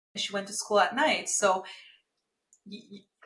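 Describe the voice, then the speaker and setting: A woman is speaking. She has a Romanian accent. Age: 30s. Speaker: marketing agency founder. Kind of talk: podcast interview.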